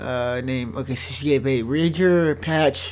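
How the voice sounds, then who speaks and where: With audible room echo around him, a man speaks at a medium pitch with ordinary pitch variation. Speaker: gaming video creator. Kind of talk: let's play commentary. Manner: fast.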